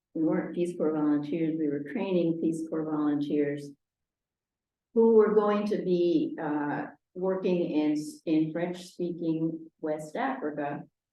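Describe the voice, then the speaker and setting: In a room with audible echo, a woman speaks fairly slowly in a fairly low pitch. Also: ordinary pitch variation. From Argentina, Buenos Aires; US Northeast from age seven. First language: Spanish. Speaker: retired French teacher, local resident. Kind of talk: oral history interview. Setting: town hall recording over video call equipment. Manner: hesitant, many fillers.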